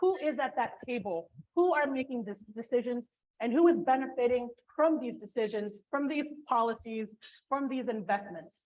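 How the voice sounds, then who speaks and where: A woman's loud, high voice with lively intonation. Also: moderate pace. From Filipino heritage. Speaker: port commissioner. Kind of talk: panel discussion.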